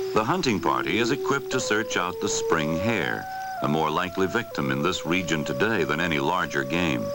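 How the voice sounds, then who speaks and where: Over noticeable background noise, a man with a very deep, low pitch talks at a fairly quick pace, his pitch swinging very widely while his loudness stays very even. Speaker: documentary narrator. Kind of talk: wildlife documentary narration.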